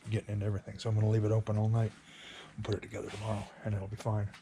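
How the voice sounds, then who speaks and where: Quiet and very fast, a man with a fairly low pitch speaks in a dark, mellow tone with vocal fry. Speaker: kayak fishing vlogger. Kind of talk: casual vlog talk to camera. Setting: at home at night. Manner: quiet, hushed.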